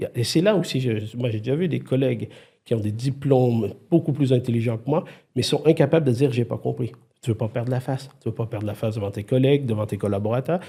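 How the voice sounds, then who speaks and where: A man's medium-pitched voice, somewhat breathy with a dark, mellow tone, shows ordinary pitch variation and big swings in loudness. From Quebec. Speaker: IT consultant and former CTO. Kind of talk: podcast interview. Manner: animated, many hesitations and restarts.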